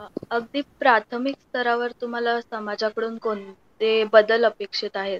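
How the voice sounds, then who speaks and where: In a dry, close sound with no echo, a woman speaks at a fairly high pitch with monotone, flat intonation. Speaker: pharmacy student interviewer. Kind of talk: interview.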